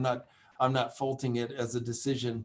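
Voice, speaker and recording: The speaker talks at a fairly quick pace with an American accent. The intonation is monotone and flat. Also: man. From United States. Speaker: epidemiology professor. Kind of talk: webinar Q&A. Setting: online webinar.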